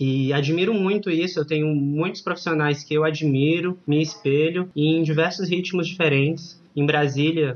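This is an unremarkable speaking voice at a moderate pace with hardly any pauses. The intonation stays fairly even and the loudness very even. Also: man, fairly high pitch for a man. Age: 30s. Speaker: ballroom dance teacher. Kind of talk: casual interview.

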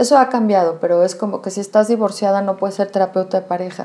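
A dark, mellow tone colors this woman's medium-pitched voice. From Mexico City. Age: 40s. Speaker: psychotherapist. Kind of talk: interview. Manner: hesitant, many fillers.

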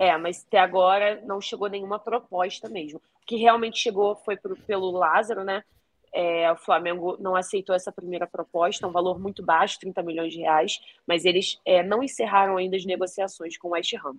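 In a strong Rio de Janeiro accent, a woman talks at medium pitch and a moderate pace with fairly even intonation and big swings in loudness. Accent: strong carioca. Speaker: sports reporter. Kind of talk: field report. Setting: remote link from hotel.

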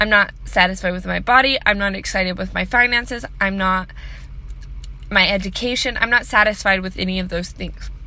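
A woman's medium-pitched, nervous voice at a fairly quick pace with fairly even intonation. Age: 20s. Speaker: vlogger sharing personal mental health story. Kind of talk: personal monologue. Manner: nervous laughter; hesitant, many fillers.

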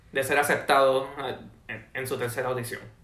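With audible room echo, a man of fairly high pitch speaks at a moderate pace. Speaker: university student. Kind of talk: casual chat.

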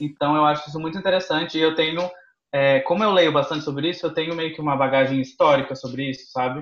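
A man speaks at a very fast pace with fairly even intonation. His pitch is fairly high. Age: 20s. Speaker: content creator and university student. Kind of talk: casual chat.

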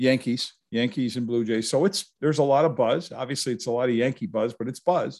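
This man has a plain, everyday voice at a medium pitch, with ordinary pitch variation and an American accent. The recording is very clean, with a silent background. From Upstate New York (Utica). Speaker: retired football writer and author. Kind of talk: casual interview.

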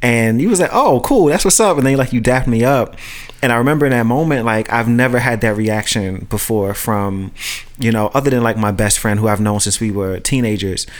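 In an ordinary speaking voice with an American accent, the talk runs fairly quickly with very even loudness and ordinary pitch variation. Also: man, medium pitch for a man. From Brooklyn, New York (Red Hook). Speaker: friend in a conversation podcast. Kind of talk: casual chat.

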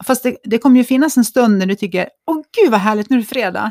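Somewhat breathy and with lively intonation, a woman speaks at a fairly quick pace in a dry, close sound with no echo on a very clean recording with a silent background. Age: 50s. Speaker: podcast co-host. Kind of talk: casual chat.

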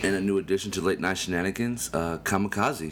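A man's very deep, low-pitched voice. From Atlanta, US South. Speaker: podcast host, event coordinator. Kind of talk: casual chat.

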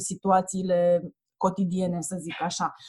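Somewhat breathy with a dark, mellow tone, a woman speaks at a fairly slow pace. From Romania, Ploiești. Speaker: children's book author and publisher. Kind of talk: casual interview.

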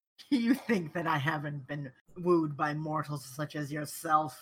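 This is a put-on character voice with a growling quality at a middle pitch. It moves at a fairly slow pace. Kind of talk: dramatic, imperious. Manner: snarling, haughty.

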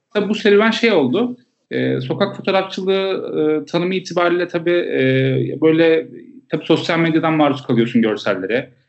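A man with a normal speaking voice talks at a moderate pace, his pitch fairly high. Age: 20s. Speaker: street photographer and public health field worker. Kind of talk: casual interview chat.

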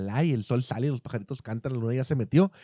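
A man's dark, mellow voice, very fast and lively in intonation, with a dry, close sound and no echo. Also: very clean recording, silent background. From Mexico. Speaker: podcast co-host. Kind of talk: casual chat. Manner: animated.

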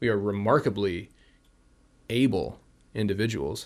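A man's fairly low voice in a Californian accent. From US West Coast (San Francisco Bay Area). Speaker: health and wellness guest. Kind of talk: casual interview chat.

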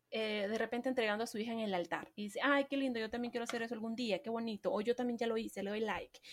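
A woman speaks with a high pitch. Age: 20s. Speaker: marketing podcast host. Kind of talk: solo podcast talk. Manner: animated.

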